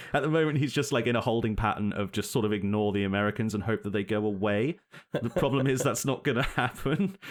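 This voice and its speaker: A man at medium pitch with a British accent, very fast pace, very even loudness, and ordinary pitch variation. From United Kingdom. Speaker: podcast co-host. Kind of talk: casual political chat. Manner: animated.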